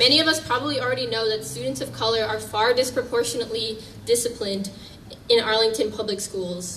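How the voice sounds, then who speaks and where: A woman with an American accent talks very fast in a fairly high pitch with lively intonation. Noticeable background noise and audible room echo fill the recording. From US Northeast. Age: 20s. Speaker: activist speaker. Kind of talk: public speech.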